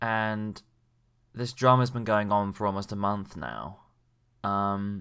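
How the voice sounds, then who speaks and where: The delivery moves at a fairly slow pace. Its intonation stays fairly even. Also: man. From England. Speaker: YouTube commentator. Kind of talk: casual commentary monologue. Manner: hesitant, many fillers.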